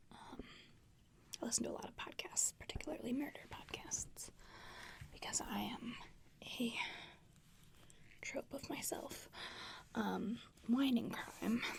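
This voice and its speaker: A woman whispering in a relaxed tone at a fairly slow pace, with long, frequent pauses. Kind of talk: ASMR show and tell, casual talk to camera. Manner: soft-spoken, whispery, relaxed.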